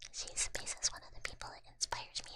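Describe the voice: Whispering at a moderate pace, a woman speaks.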